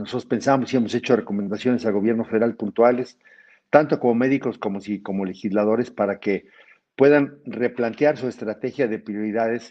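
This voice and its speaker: Here a man has an ordinary speaking voice at medium pitch. He goes at a fairly quick pace with fairly even intonation. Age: 60s. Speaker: physician and federal legislator. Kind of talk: webinar lecture.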